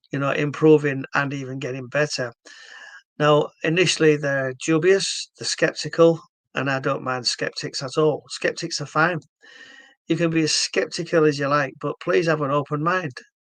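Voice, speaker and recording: A man's fairly high voice in a Yorkshire accent, with fairly even intonation and a moderate pace. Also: dry, close sound with no echo. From northern England, Hull, Yorkshire. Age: 60s. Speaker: stroke therapy founder. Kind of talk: explanatory video talk. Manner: halting.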